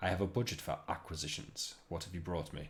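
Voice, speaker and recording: Whispering in a breathy, put-on character voice, a man speaks at a fairly quick pace with clear background noise. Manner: breathy whisper.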